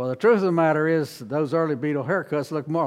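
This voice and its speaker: A man speaks in an unremarkable speaking voice, with fairly high pitch and ordinary pitch variation. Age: 60s. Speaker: Mennonite minister. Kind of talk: lecture.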